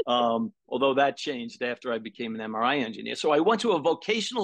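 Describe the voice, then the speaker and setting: Against a quiet background, a man with a Brooklyn accent and a fairly high pitch talks with lively intonation in a dry, close sound with no echo. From New York, Brooklyn. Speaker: sound therapy practitioner. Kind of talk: interview.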